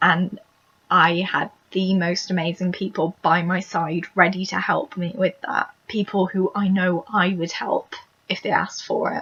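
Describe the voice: A woman puts on a raspy character voice at medium pitch, speaking at a moderate pace with fairly even intonation.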